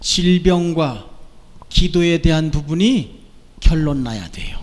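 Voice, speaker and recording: Against audible room echo, a man with a high pitch speaks at a very slow pace. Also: ordinary pitch variation. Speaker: pastor. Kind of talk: sermon. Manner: loud.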